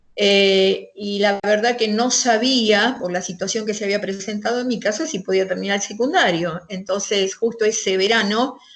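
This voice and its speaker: Speaking at a moderate pace with hardly any pauses, a woman keeps a medium pitch and fairly even intonation over noticeable background noise. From Argentina, western Greater Buenos Aires. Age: 60s. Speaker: interviewee recounting life in the 1970s. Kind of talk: interview. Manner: hesitant, many fillers.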